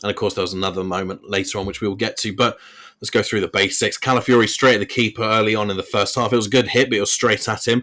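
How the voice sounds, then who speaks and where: A man with a fairly low pitch and an English accent speaks at a very fast pace in a very clean recording with a silent background. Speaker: football podcast host. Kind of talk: solo podcast match review. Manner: stuttering today. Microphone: recording without his usual computer setup, technical issues.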